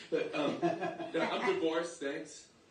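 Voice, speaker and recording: A man's voice comes through with noticeable background noise. Room echo can be heard as well. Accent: American. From Staten Island, New York. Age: 60s. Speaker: stand-up comedian. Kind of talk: stand-up.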